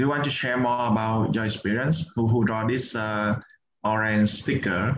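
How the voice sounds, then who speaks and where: In a Vietnamese accent, a man speaks at a moderate pace and medium pitch, with very even loudness and fairly even intonation. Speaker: meditation and English community facilitator. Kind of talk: online group workshop facilitation.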